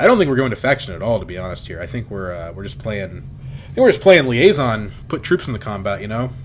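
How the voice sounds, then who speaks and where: Very wide pitch swings mark a man's very fast speech, with noticeable background noise behind him. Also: medium pitch for a man, hardly any pauses. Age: 20s. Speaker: game streamer. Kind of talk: live gameplay commentary. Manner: casual, thinking aloud with fillers.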